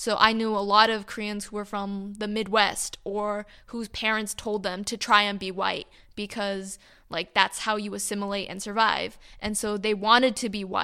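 In a Californian accent, the voice has a bright, sharp tone, a moderate pace and fairly even intonation, on a very clean recording with a silent background. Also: woman. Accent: Californian American English. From Irvine, California, US. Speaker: Korean American student. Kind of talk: casual interview chat.

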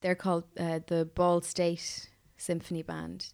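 A woman's fairly low voice in an Irish Midlands accent at a fairly slow pace, on a very clean recording with a silent background. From Ireland, County Offaly. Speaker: composer. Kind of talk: interview conversation. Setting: studio.

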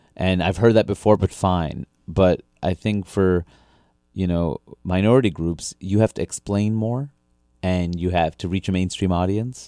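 A man with an American accent and a very deep, low pitch, dark, mellow in tone, fairly even in intonation and fairly slow in pace, in a dry, close sound with no echo and a very clean recording over a silent background. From Queens, New York. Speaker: comedian. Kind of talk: interview.

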